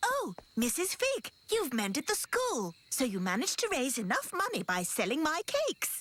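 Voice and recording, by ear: A cartoonish, female-sounding character voice, high-pitched with very wide pitch swings, at a moderate pace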